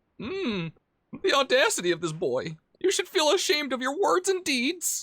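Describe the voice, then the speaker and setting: The speaker uses a put-on character voice pitched high. The pace is moderate. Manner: pompous, scolding.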